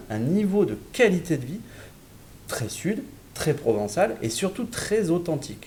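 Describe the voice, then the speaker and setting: A man's high-pitched voice in a southern French accent, dark and mellow in tone, very slow, with very wide pitch swings. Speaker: real estate developer representative. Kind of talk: sales presentation in online webinar. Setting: virtual event broadcast. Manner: hesitant, with filler words and repetitions.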